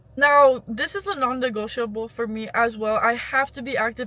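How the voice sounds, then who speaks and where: A woman's high, raised and projected voice with a bright, sharp tone, at a fairly quick pace and with ordinary pitch variation. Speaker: lifestyle vlogger. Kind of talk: casual advice vlog. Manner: rambling, conversational.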